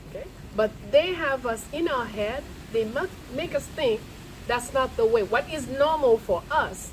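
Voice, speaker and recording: Noticeable background noise sits behind a woman whose high voice moves with lively intonation. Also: fairly slow pace. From Haiti. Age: 70s. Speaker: lecturer on Haitian history. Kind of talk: lecture. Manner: animated.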